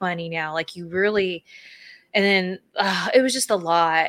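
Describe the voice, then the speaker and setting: A woman's unremarkable speaking voice at medium pitch, with ordinary pitch variation and a moderate pace, in a very clean, dry, close recording with no echo and a silent background. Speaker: podcast co-host, former wrestler and content creator. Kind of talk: casual chat. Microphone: new audio equipment, first time using it.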